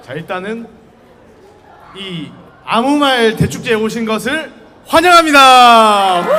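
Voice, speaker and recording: A man speaks very slowly in an extremely high, raised and projected voice, with lively intonation and long, frequent pauses. Noticeable background noise and audible room echo fill the recording. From South Korea, Busan. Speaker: university student speaker. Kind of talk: public talk to student audience. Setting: outdoor campus busking stage with audience. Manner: casual, conversational.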